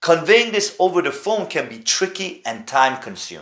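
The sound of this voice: Big pitch swings run through a man's fairly high-pitched voice, its tone bright and sharp.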